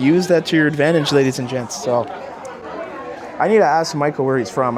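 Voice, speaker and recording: Crowd noise in the background and audible room echo accompany fairly quick speech with lively intonation. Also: man. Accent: Canadian. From Canada, Brampton near Toronto, Ontario. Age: 20s. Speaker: travel vlogger. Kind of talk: casual vlog narration. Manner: casual, filler-heavy.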